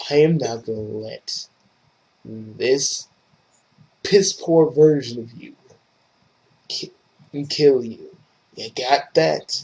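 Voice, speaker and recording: A man talks quietly and gruffly in a put-on character voice at a fairly high pitch. His pace is very slow, with long, frequent pauses. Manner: quiet, gruff.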